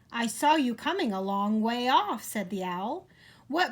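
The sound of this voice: An unforced reading voice. The intonation is lively.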